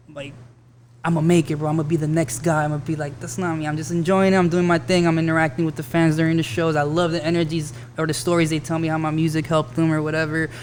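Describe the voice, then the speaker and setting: Background noise is noticeable as a man talks very fast. His fairly high pitch holds fairly even intonation. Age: 30s. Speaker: rapper. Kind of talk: casual chat.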